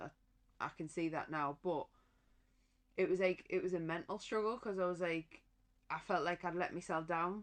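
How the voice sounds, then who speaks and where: A woman with a Durham accent speaks at a moderate pace and a fairly low pitch, with fairly even intonation and long, frequent pauses. The background is quiet. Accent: Durham twang. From northern England, County Durham. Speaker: professional boxer. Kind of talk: casual chat.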